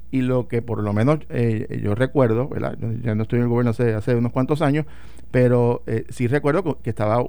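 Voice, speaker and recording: A man with a medium-pitched voice speaks very fast. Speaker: former legislator and political commentator. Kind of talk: radio talk show discussion. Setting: radio studio.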